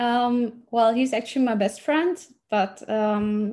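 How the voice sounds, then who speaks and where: Speaking with a German accent, a woman has a fairly high pitch and ordinary pitch variation. Her tone is dark and mellow, and somewhat breathy. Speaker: language exchange student. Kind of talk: casual interview.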